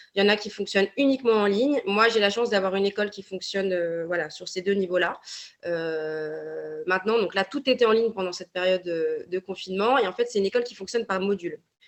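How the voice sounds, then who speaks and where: A woman talks very fast at a medium pitch, with ordinary pitch variation. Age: 20s. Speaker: naturopathy consultant. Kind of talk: podcast interview. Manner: hesitant, many fillers.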